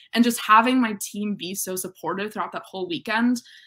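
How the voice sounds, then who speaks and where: Speaking at a fairly quick pace with an American accent, a woman uses ordinary pitch variation and a bright, sharp tone against a quiet background. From Western Massachusetts, Northampton; Western Massachusetts. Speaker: college student athlete; interviewee. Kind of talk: interview. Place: home room.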